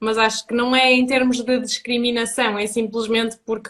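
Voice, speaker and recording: The speaker has a European Portuguese accent and keeps a moderate pace. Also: woman. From Portugal. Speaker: Portuguese teacher. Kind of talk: live-stream conversation.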